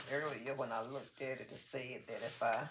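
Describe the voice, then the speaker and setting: A soft-spoken woman with a very deep, low pitch talks at a moderate pace, with audible room echo and noticeable background noise. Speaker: crafting channel host. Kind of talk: casual craft tutorial. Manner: soft-spoken, drifts low while working.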